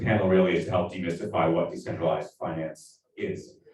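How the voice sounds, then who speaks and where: With audible room echo around him, a man in an American accent talks at a moderate pace in a very deep, low voice. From United States. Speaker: business development manager, panel moderator. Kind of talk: panel discussion moderation. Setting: conference stage with audience.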